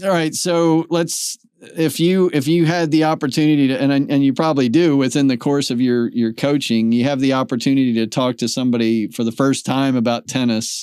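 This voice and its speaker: In a plain, everyday voice, a man with a fairly high pitch speaks at a fairly quick pace with ordinary pitch variation, very even loudness and hardly any pauses. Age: 60s. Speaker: podcast host. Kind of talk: casual interview.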